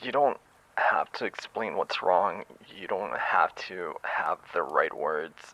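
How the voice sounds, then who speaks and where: A man talks at a fairly slow pace. The audio is dry and close, without any echo. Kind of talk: comforting ASMR voicemail roleplay. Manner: soft-spoken, gentle, slow.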